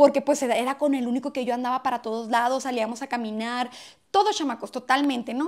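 A woman's high voice moves at a fairly quick pace against a quiet background. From Mexico, Hermosillo, Sonora; Sonora, Mexico. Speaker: comedy YouTuber. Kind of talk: casual vlog monologue. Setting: at home, in bedroom. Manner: animated. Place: home room. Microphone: lapel.

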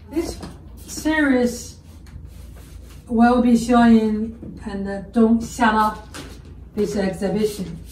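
A woman with a Chinese accent speaks very slowly with long, frequent pauses, her fairly high pitch held in fairly even intonation, while audible room echo and light background noise sit around her. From China. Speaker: artist. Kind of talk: artist talk about own work. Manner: halting, with frequent fillers. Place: workshop. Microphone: camera far.

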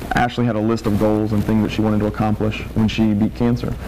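A woman speaks here. Background noise is noticeable. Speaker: TV news reporter and anchor. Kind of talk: TV newsreading, polished broadcast delivery. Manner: formal, steady, measured.

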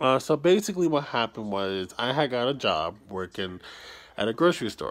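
A man at a fairly quick pace with very wide pitch swings. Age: 20s. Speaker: YouTuber. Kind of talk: personal vlog storytelling. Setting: at home, early morning, self-held camera. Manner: quiet, keeping voice down. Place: home room. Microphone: phone near.

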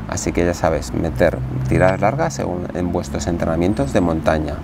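Noticeable background noise sits behind a man with a very deep, low voice. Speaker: trail running vlogger. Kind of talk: casual vlog tutorial. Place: garden. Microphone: lapel.

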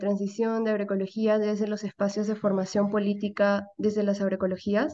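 A woman's medium-pitched voice against a quiet background. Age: 20s. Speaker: course participant, youth collective coordinator. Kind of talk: self-introduction. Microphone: video call.

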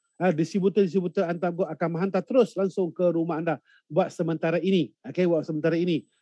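Speaking very fast, a man has a high-pitched voice with a dark, mellow tone. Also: quiet background, dry sound with no echo. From Malaysia. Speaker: event emcee and gold investment business leader; event emcee. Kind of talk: online webinar hosting. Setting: live online broadcast from a hotel or remote location. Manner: animated. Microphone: video call.

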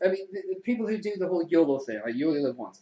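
A man's high-pitched voice with lively intonation and a dark, mellow tone. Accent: English. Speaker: web show host. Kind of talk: casual chat. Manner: animated.

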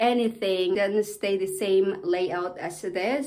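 The intonation rises and falls in a lively way. The speaker is a woman. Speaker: home renovation vlogger. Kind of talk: casual vlog chat. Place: bathroom. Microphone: phone near.

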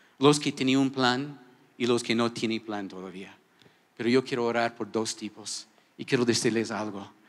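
A man at a moderate pace, pitch moving in an ordinary way. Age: 60s. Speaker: pastor. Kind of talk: sermon. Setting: church. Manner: animated. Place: church. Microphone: handheld.

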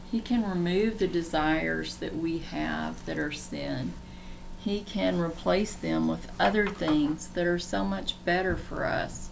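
A woman's rather slow speech amid audible room echo and clearly noticeable background noise. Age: 60s. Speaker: online Bible teacher. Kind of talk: livestream Bible teaching.

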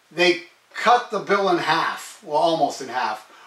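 A man talks at a fairly slow pace amid audible room echo. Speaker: music vlogger. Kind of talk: casual vlog chat. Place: home room.

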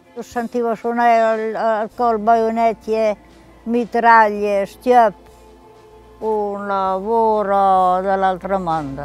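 A woman at a very slow pace, fairly even intonation, long, frequent pauses, dry sound with no echo and faint music in the background. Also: fairly high pitch for a woman. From Romagna, Italy. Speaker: wartime eyewitness. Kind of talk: interview answer. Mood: vivid, emotional recollection. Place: garden. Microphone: lapel.

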